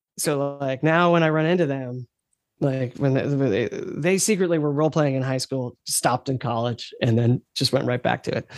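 A man with a plain, everyday voice at a fairly quick pace, ordinary pitch variation, and a dry, close sound with no echo. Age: 50s. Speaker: game designer. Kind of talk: casual chat.

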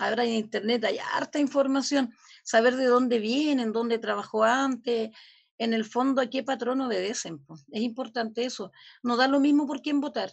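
A high-pitched woman talks at a moderate pace. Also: fairly even intonation. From Chile. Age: 50s. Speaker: community leader. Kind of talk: interview.

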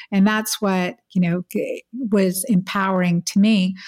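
A woman with an ordinary speaking voice at medium pitch and fairly even intonation, dry and close with no echo in a very clean recording against a silent background. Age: 50s. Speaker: physician and hormone expert. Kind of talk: interview.

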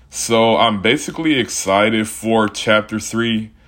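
Here a man speaks at a very slow pace with a fairly low pitch. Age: 20s. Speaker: podcast host. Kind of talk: casual solo monologue. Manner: casual, rambling conversational.

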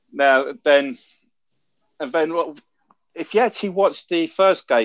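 A man speaks with a London accent at a moderate pace. His pitch varies in an ordinary way, and the sound is dry and close with no echo. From London, England. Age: 40s. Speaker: American football fan. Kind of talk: casual chat.

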